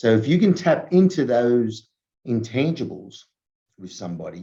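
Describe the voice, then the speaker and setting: Pitched at a medium level, a man's dark, mellow voice moves at a fairly slow pace. His pitch swings very widely. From Australia. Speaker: entrepreneur, former rugby player. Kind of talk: interview.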